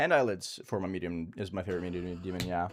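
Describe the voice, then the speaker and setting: A man with a slight Norwegian accent, very deep, low pitch, monotone, flat intonation and a fairly quick pace, music in the background. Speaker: game streamer. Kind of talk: live stream chat while gaming.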